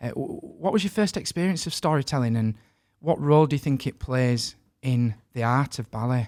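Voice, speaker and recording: Recorded very cleanly with a silent background and a dry, close sound with no echo, a man with a northern English accent talks at a medium pitch with lively intonation. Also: moderate pace. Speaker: podcast host. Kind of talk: interview.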